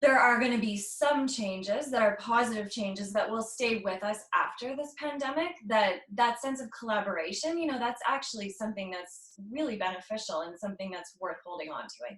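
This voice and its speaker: At a moderate pace, a woman with an ordinary speaking voice talks at a fairly high pitch. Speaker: interviewer, series host. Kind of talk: interview questions.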